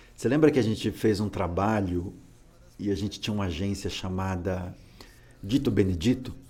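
A fairly low-pitched man with a dark, mellow, somewhat breathy tone speaks at a moderate pace with ordinary pitch variation and long, frequent pauses. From interior of Alagoas, Brazil, moved to São Paulo at age 8. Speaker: podcast co-host, kung fu practitioner. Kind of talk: casual chat.

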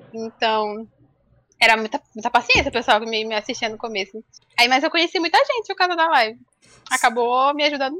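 Her high-pitched voice bright and sharp, a woman speaks at a fairly quick pace with lively intonation, big swings in loudness and long, frequent pauses, the sound dry and close with no echo. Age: 20s. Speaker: game streamer and architecture student. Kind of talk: casual chat. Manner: nervous, shaky.

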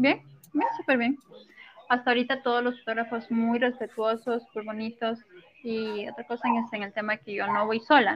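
A woman at a fairly high pitch and moderate pace, fairly even in intonation but with big swings in loudness, over noticeable background noise. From Ecuador, coastal Manabí province. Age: 20s. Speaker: model. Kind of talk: interview. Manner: soft-spoken.

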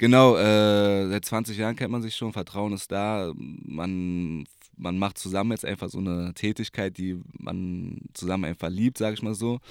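An ordinary speaking voice from a man, fairly low in pitch, at a fairly slow pace with fairly even intonation and hardly any pauses, on a very clean recording with a silent background. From Berlin. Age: 20s. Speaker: DJ and personal trainer. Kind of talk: casual chat. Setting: recording booth in coworking space.

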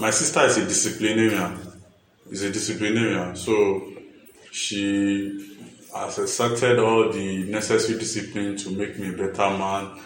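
With a Nigerian accent, the speaker keeps a moderate pace and fairly even intonation, amid noticeable background noise and audible room echo. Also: man, fairly low pitch for a man. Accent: Nigerian (Yoruba) English. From Nigeria, Ondo State (Ipele, Akure). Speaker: music journalist. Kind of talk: interview. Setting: studio.

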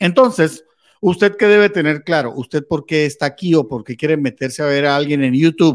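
Using an unremarkable speaking voice, a man talks at a fairly quick pace in a fairly high pitch with lively intonation. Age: 50s. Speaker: journalist and crypto market analyst. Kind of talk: interview.

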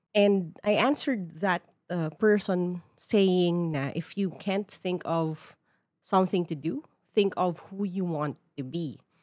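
On a very clean recording with a silent background, a woman with a Filipino accent speaks at a very slow pace, her pitch fairly low with ordinary variation. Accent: Filipino English, Taglish code-switching. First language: Tagalog. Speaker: podcast host. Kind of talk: solo podcast monologue. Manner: conversational, casual.

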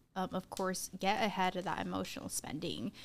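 On a very clean recording with a silent background, a voice with an American accent and vocal fry moves at a moderate pace. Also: woman. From Arizona, US. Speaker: podcast co-host. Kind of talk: casual chat.

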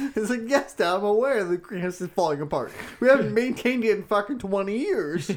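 Noticeable background noise behind a man's high pitch. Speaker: podcast co-host. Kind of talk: casual banter, crude comedy chat.

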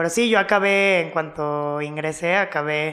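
A woman's very deep, low voice moves at a fairly slow pace. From Mexico (Cancún). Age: 20s. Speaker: DJ and music producer. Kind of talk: casual chat.

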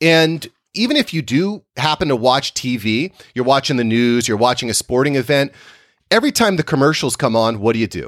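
A man with an unremarkable speaking voice talks at a fairly quick pace in a medium pitch, his intonation lively and the sound dry and close with no echo. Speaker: podcast producer and branding guest. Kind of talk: casual interview chat. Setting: video call.

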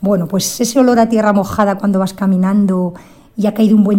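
A woman at medium pitch speaks with monotone, flat intonation while background noise is noticeable. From Zamora area, Spain. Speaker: listener contributor. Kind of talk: recorded personal message.

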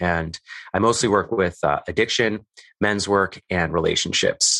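Speaking at a fairly slow pace with a Western Canadian accent, a man with a fairly low pitch and a bright, sharp tone is heard against a quiet background, the sound dry and close with no echo. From Canadian prairies (Calgary, Alberta). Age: 30s. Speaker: men's work coach and podcaster. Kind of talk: casual interview conversation.

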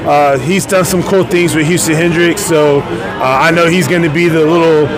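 A man with an American accent and a high pitch speaks at a moderate pace in a monotone, flat way, at very even loudness, over noticeable background noise. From Venice Beach, California. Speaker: professional wrestler. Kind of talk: casual chat. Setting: live event at a restaurant.

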